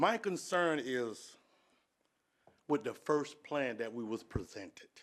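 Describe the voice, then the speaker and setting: A loud man's voice, fairly high-pitched, with very wide pitch swings and a very slow pace. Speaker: resident speaking at public comment. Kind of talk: public comment at city meeting. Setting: city commission meeting.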